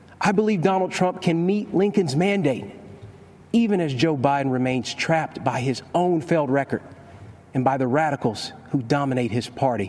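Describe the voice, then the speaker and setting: Noticeable background noise sits behind a man's fairly high-pitched voice. His pace is moderate and his intonation lively. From Kentucky. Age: 30s. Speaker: state attorney general. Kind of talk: prepared political speech.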